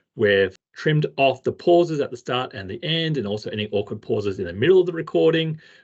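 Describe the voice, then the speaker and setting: With a strong Australian accent, a man talks at a fairly quick pace. His intonation is lively. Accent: heavy Australian. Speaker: instructional technology trainer. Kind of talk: tutorial. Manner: casual, conversational.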